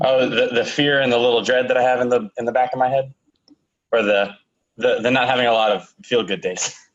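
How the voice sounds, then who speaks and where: Pitched at a medium level, a man talks in an unremarkable speaking voice with fairly even intonation and very even loudness. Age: 20s. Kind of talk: interview answer.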